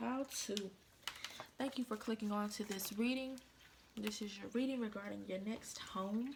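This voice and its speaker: Amid noticeable background noise, a woman speaks quietly at a moderate pace and fairly high pitch, with fairly even intonation and long, frequent pauses. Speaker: tarot card reader. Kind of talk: tarot reading. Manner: casual, informal; quiet, subdued tonight.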